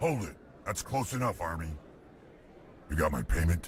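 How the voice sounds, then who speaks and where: In a put-on character voice, a man speaks very deep and low at a moderate pace, making very wide pitch swings over clear background noise. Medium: video game. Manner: gruff, curt.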